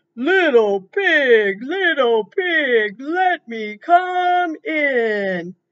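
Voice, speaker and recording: A gruff, high put-on character voice swings very widely in pitch, moving at a very slow pace with hardly any pauses. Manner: wheedling, menacing.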